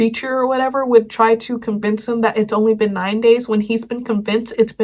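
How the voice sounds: The reading voice sounds natural, with intonation that stays fairly even.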